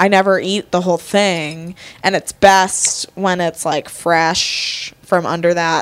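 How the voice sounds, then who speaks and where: With an American accent, a woman speaks at a very slow pace with fairly low pitch and monotone, flat intonation over noticeable background noise. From Connecticut, Fairfield County. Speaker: podcast guest. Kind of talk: casual chat over drinks.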